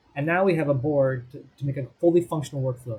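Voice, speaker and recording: Somewhat breathy, a man of medium pitch and a dark, mellow tone talks at a fairly quick pace with fairly even intonation. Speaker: software tutorial presenter. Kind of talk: screen-recorded tutorial. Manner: fast.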